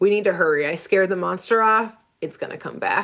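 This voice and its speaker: A woman puts on a gravelly, raspy character voice at a medium pitch and a fairly quick pace. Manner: urgent.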